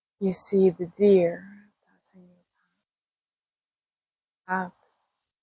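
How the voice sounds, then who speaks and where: Very slowly, a woman speaks with a somewhat breathy, dark, mellow tone and monotone, flat intonation. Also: medium pitch for a woman. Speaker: meditation guide. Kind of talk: guided meditation. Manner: slow, soft-spoken.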